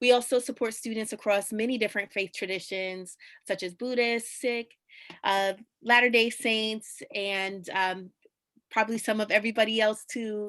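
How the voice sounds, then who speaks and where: Here a woman with a New York accent speaks at a moderate pace and a fairly high pitch. Her intonation is fairly even, and the recording is very clean with a silent background. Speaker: chaplain. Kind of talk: scripted presentation; interview answer.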